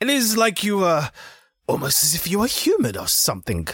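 A man puts on a character voice, high-pitched with very wide pitch swings. The tone is fairly bright with a slightly husky edge, at a moderate pace.

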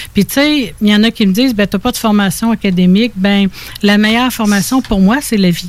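The voice is somewhat breathy, with ordinary pitch variation, very even loudness, and a fairly quick pace. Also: woman, medium pitch for a woman. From Quebec (Laurentides, Estrie), born in Ontario. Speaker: spiritual healer. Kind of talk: interview.

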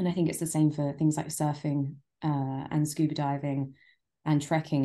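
A woman with a London accent speaks fairly quickly in a very deep, low, dark and mellow voice, with flat, monotone intonation and a quiet background. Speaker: travel writer. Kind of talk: casual chat.

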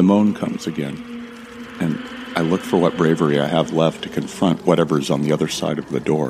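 Music plays in the background as a man speaks in a very deep, low pitch. His pace is moderate and his intonation fairly even. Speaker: fiction narrator. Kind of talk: scripted first-person audio drama narration. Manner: hushed, tense, dramatic narration.

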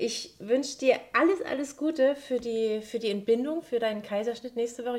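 With lively intonation, a woman talks at a moderate pace. She has an ordinary speaking voice. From Saxony-Anhalt, Bitterfeld. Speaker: podcast host. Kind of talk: casual interview.

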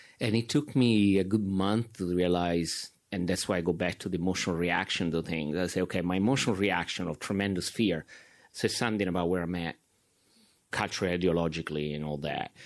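A man with an Italian accent speaks at a fairly quick pace in a very deep, low voice with ordinary pitch variation. The recording is very clean, with a silent background. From Italy. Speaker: documentary filmmaker. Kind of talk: filmmaker Q and A.

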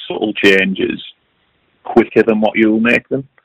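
A man's voice with a dry, close sound and no echo. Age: young. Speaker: competitive match angler. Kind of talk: interview. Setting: remote call.

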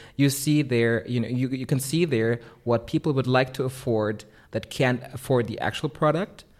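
A man at medium pitch speaks in a plain, everyday voice on a very clean recording with a silent background. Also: moderate pace. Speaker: artist. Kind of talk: interview. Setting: artist's studio.

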